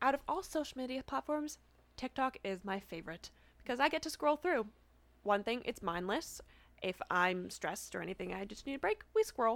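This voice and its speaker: A woman's high voice in a Canadian accent, with very wide pitch swings. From Canada. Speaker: student. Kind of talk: casual interview chat. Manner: fast talker; excitable, interrupts.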